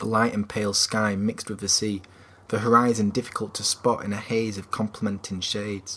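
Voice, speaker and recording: A man speaks with a Yorkshire accent at a fairly low pitch. He keeps a fairly quick pace. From Yorkshire, England. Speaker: author. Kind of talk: novel chapter reading.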